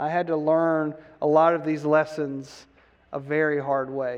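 With an ordinary speaking voice, a man talks at a fairly high pitch and with fairly even intonation. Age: 50s. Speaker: pastor. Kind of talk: sermon.

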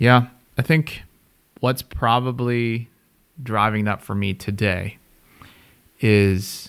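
Fairly even intonation marks a man's speech, recorded very cleanly over a silent background. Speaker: podcast host. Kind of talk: casual conversation between spouses.

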